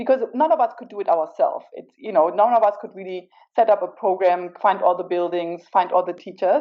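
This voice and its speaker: A woman speaks at a fairly quick pace with a German accent and a medium pitch. Her intonation is lively, and her loudness swings widely. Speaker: corporate partner representative. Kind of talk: panel answer.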